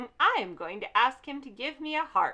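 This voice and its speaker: A woman uses a put-on character voice, raised and projected at a high pitch, moving at a moderate pace with big swings in loudness. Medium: read story.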